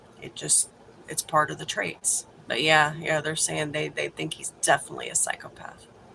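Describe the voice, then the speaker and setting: Someone whispers at a moderate pace with an American accent. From Texas. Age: 40s. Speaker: livestreamer. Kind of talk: casual chat. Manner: animated.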